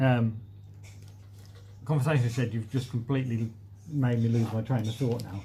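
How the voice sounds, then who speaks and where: Somewhat breathy and dark, mellow in tone, a man with a medium pitch talks with fairly even intonation and long, frequent pauses. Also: moderate pace. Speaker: allotment gardening youtuber. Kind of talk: live stream chat reading comments. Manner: casual with frequent fillers.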